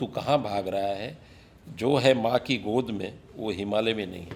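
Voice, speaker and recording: A man talks with a normal speaking voice. His pitch varies in an ordinary way. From Mumbai, India. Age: 60s. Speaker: businessman and social worker. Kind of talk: podcast interview. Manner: reflective, with fillers.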